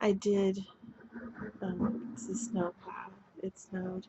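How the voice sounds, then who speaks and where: A woman's medium-pitched voice at a very slow pace, with long, frequent pauses, fairly even intonation and big swings in loudness. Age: 50s. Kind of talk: casual talk to camera.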